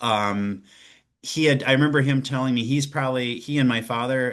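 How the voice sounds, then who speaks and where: A man speaks with a medium pitch and ordinary pitch variation. The background is quiet. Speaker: politician and shelter director. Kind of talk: interview. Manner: hesitant, many fillers and repeats.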